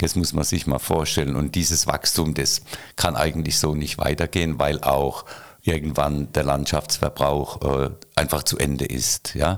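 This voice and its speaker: The speaker keeps a moderate pace. Loudness stays very even throughout. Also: man, very deep, low pitch for a man, fairly even intonation. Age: 60s. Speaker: retired mayor. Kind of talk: casual interview.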